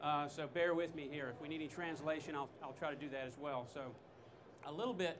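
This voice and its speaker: A man with a slight Southern US accent talks fairly quickly with a fairly high pitch and fairly even intonation. Room echo is audible, and background noise is noticeable. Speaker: technical trainer. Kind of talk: product demonstration talk. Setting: trade show stage with audience.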